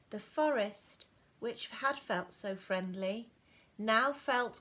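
The speaker is reading aloud in a natural voice.

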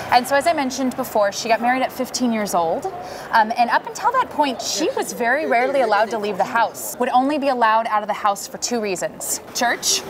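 A woman's high voice at a very fast pace, with ordinary pitch variation and noticeable background noise. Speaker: tour guide. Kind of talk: guided tour explanation. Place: street.

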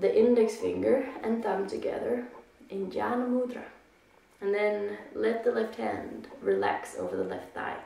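Audible room echo surrounds the voice. A woman talks at a fairly slow pace. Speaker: yoga instructor. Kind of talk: guided meditation and breathing instruction. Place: home room. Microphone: camera far.

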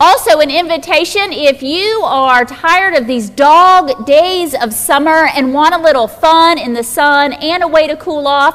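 A woman with a high pitch speaks at a fairly slow pace, her pitch variation ordinary. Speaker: pastor giving announcements. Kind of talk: church announcements. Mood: warm, inviting. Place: church.

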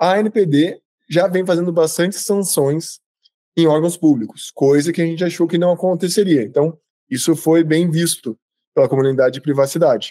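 Against a quiet background with a dry sound and no echo, a man with a high pitch and a dark, mellow tone speaks at a moderate pace, with ordinary pitch variation and very even loudness. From Jundiaí, São Paulo, Brazil. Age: 30s. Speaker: information security expert and company founder. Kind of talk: online talk with audience interaction. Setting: video call. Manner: informal, conversational. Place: home room. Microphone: webcam.

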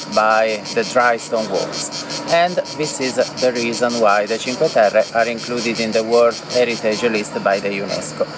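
A man at a moderate pace with ordinary pitch variation, in a dry sound with no echo and noticeable background noise. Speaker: tour guide. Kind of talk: travel guide commentary. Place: open country.

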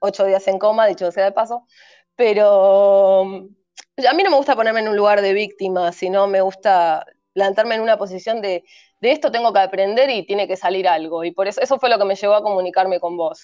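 A woman talks at a fairly quick pace in a dark, mellow tone with ordinary pitch variation. Behind her, the background stays quiet. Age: 30s. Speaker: cult survivor; guest. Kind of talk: testimony. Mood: earnest, reflective. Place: home room. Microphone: video call.

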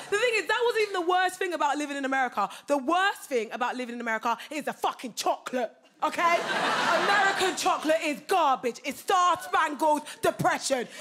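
Over loud background noise, the voice moves at a fairly quick pace with very wide pitch swings. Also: woman, extremely high pitch for a woman. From England. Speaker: comedian. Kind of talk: stand-up. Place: stage. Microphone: handheld.

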